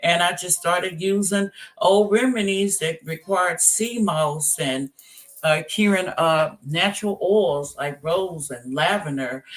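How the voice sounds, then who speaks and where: Speaking at a fairly slow pace in a Southern US accent, the voice shows ordinary pitch variation. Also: woman. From US South, Tennessee. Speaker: author and entrepreneur. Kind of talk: interview.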